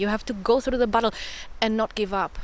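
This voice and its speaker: A woman speaks over noticeable background noise. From Greece. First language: Greek. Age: 30s. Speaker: spiritual content creator. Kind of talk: personal spoken vlog. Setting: outdoors in a forest.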